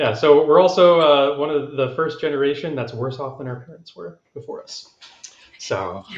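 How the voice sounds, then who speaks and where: With an American accent and an unremarkable speaking voice, a man at a fairly high pitch talks at a moderate pace, his pitch varying in an ordinary way while his loudness swings widely. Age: 30s. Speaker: congressional candidate. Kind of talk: panel discussion. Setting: live stream.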